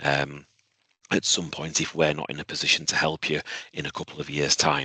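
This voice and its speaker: Quiet and dry, close with no echo, a man's very deep, low voice carries vocal fry, a bright, sharp tone and monotone, flat intonation. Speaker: university head of department. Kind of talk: webinar Q&A answer. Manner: repetitive, halting; speaking quietly.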